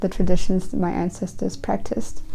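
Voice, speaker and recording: The voice has a German accent and a dark, mellow tone. Its intonation is fairly even. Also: woman. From Germany. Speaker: witchcraft YouTuber. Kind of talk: casual personal ramble. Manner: rambling, halting with false starts.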